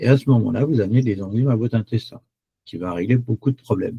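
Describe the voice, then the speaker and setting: A man speaks at medium pitch in a dark, mellow tone that is somewhat breathy. The sound is dry and close, with no echo. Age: 70s. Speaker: chocolate product seller. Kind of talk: webinar presentation. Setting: online webinar. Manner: hesitant, many fillers.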